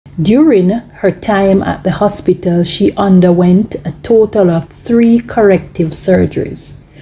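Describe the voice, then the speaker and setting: A woman's medium-pitched voice at a fairly slow pace, with hardly any pauses, ordinary pitch variation and noticeable background noise. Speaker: news narrator. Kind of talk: news narration.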